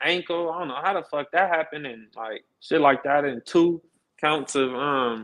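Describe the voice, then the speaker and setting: A man speaks at a moderate pace with an American accent, in a normal speaking voice. His pitch is fairly high for a man and varies in an ordinary way. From Los Angeles, California. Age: 30s. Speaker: interview guest. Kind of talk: casual interview.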